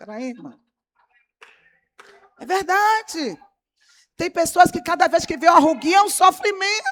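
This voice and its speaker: A woman speaks at a fairly slow pace in an extremely high pitch, her intonation lively and her tone animated, with big swings in loudness and long, frequent pauses. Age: 60s. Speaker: pastor. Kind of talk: sermon.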